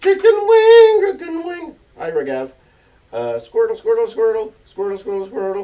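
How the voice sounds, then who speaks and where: Mumbling, a man speaks at a moderate pace. His pitch is extremely high and swings very widely. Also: big swings in loudness. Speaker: artist livestreaming a drawing session. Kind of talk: live stream chat while drawing. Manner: casual, halting with repetitions.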